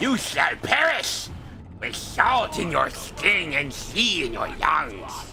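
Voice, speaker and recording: A man's put-on character voice at a very slow pace, with clear music in the background. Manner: mocking.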